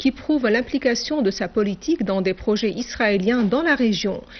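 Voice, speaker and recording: A woman at a fairly high pitch and moderate pace, ordinary pitch variation, with noticeable background noise. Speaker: TV news anchor. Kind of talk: formal state-TV news bulletin reading. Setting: TV studio. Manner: formal, measured and declamatory, reading long official sentences.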